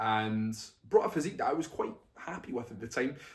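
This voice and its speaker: A man speaks in a Scottish accent at a fairly quick pace. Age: 20s. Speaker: bodybuilding coach and vlogger. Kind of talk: casual vlog talk to camera. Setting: talking to camera on a tripod.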